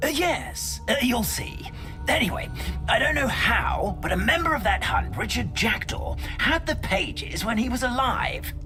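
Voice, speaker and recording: A put-on character voice delivers the lines at a moderate pace over loud music in the background. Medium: game stream. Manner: polite, hesitant, many "uh"s.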